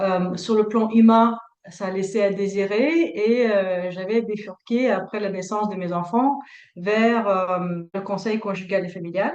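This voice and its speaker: A woman speaks at a very slow pace in a Russian accent. Her intonation stays fairly even. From Latvia. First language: Russian (speaking French). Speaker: couples therapist. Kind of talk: interview. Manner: hesitant, many fillers.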